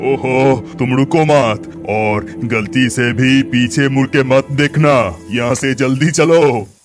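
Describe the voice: A man's cartoonish character voice at a medium pitch and fairly slow pace, with clear music in the background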